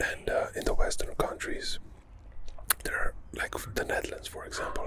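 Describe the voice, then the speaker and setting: Soft-spoken and calm, a man talks at an extremely high pitch for a man with ordinary pitch variation and a moderate pace. Noticeable background noise runs underneath. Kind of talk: ASMR whisper ramble. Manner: soft-spoken, calm.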